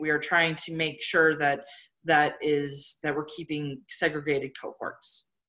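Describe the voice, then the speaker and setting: A woman's bright, sharp voice at a fairly slow pace. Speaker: public health official. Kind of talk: webinar presentation. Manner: many filler words.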